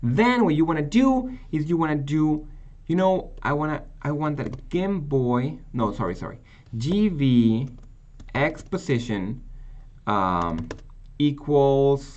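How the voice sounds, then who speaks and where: Audible room echo around a man with a non-native accent, fairly high in pitch, very slow, with very wide pitch swings. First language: not English. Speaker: programming teacher. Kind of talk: tutorial. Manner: halting.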